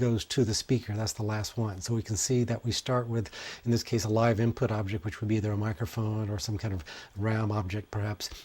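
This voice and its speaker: Somewhat breathy and medium in pitch, a man speaks with fairly even intonation. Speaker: music technology instructor. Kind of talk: tutorial. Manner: fast.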